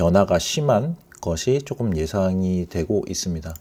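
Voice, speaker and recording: A man speaks at a very slow pace with a very deep, low pitch and a dark, mellow tone. His intonation is lively, and the recording is very clean with a silent background. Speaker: crypto market commentator. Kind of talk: market analysis tutorial. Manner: halting, with many fillers and repeats.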